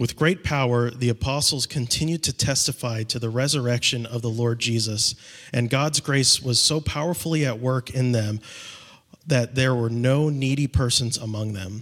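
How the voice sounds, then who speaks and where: At a moderate pace, a man with an ordinary speaking voice talks at medium pitch with ordinary pitch variation. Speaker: scripture reader. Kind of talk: reading aloud. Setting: church.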